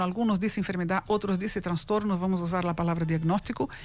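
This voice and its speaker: A woman speaks very fast with a Brazilian accent. Noticeable background noise runs under her voice. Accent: Brazilian Portuguese accent, lasting. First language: Portuguese (speaking Spanish). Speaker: foundation president, mental health advocate. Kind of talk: radio interview.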